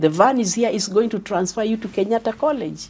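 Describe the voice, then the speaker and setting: Speaking at a fairly quick pace, a woman has a somewhat breathy voice with fairly high pitch and ordinary pitch variation. The recording is very clean, with a silent background. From Kenya, Ngong area. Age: 80s+. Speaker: retired teacher and former electoral commissioner. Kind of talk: interview, life story.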